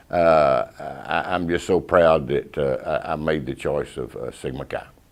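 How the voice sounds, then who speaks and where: A man with a Texan accent talks at a fairly slow pace. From Texas. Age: 60s. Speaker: fraternity alumnus. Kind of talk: interview testimony. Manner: halting.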